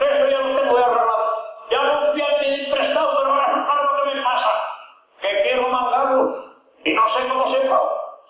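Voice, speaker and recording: A man's moderate-speed speech competes with noticeable background noise. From Asturias, Spain. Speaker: comic monologuist. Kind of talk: comic monologue in verse.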